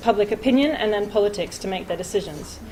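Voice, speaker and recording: Her Australian accent comes through clearly. The woman's pitch is fairly high, with ordinary pitch variation. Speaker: conservation researcher, PhD student. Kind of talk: conference talk. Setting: conference stage with audience. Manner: hesitant, many fillers.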